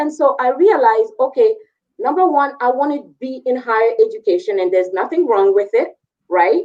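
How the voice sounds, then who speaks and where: With a slight French West African accent, a woman speaks at a high pitch and a moderate pace. Her pitch swings very widely. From Ivory Coast, West Africa. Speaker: career and technical education teacher. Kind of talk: panel discussion.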